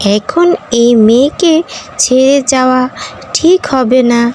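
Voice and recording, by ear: A cartoonish, female-sounding character voice, high-pitched and very slow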